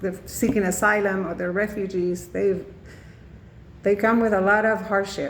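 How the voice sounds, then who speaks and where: In a Spanish accent, a woman speaks at a moderate pace and medium pitch with monotone, flat intonation. Long, frequent pauses break up her speech, and room echo is audible. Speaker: student. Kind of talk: class presentation. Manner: halting, many fillers.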